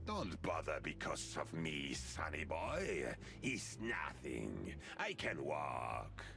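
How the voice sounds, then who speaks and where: A man talks in a put-on character voice at a very slow pace. Loud background noise runs under him. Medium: video game. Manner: gruff, chuckling.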